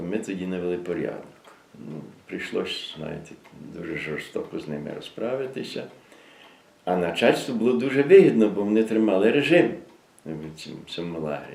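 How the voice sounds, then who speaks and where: A man speaks at a moderate pace in a fairly low voice, with long, frequent pauses. His pitch swings very widely, and his loudness rises and falls sharply. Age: 80s+. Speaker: former political prisoner. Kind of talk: oral history interview answer.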